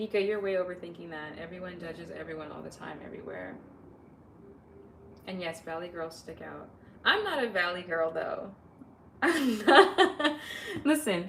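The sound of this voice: A woman with a Southern California accent at a moderate pace, with long, frequent pauses and big swings in loudness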